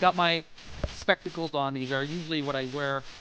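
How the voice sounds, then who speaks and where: Music can be heard in the background. Over it, a man talks at a moderate speed. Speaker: gaming YouTuber. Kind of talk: sponsored product promo to camera. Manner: casual, hesitant with fillers.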